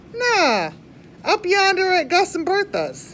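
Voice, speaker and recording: A woman's put-on character voice in a Southern US accent, squeaky and extremely high in pitch, with ordinary pitch variation and a fairly slow pace, over clear background noise. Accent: Southern rural drawl. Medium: read story. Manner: folksy, warm, chuckling.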